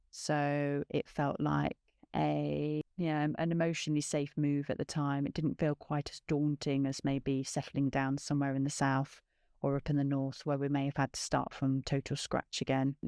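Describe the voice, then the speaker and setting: A woman's very deep, low voice in an East Midlands accent, dark and mellow in tone, monotone and flat, at a moderate pace, with a dry, close sound and no echo. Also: quiet background. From England, Nottingham (East Midlands). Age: 40s. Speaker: podcast host. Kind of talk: personal testimony. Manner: hesitant, with fillers.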